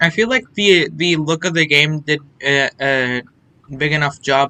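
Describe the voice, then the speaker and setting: A man speaks at a moderate pace in a bright, sharp, fairly high-pitched voice with ordinary pitch variation. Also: dry, close sound with no echo. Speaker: gaming streamer. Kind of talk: live gameplay commentary. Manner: casual, stumbling over words.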